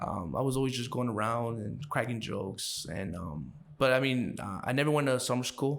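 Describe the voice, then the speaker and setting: A man with a Chicago accent talks at a moderate pace, with hardly any pauses. His medium pitch shows ordinary variation, and audible room echo fills the recording. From Chicago, Brighton Park. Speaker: podcast guest. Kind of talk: casual interview. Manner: halting, many fillers.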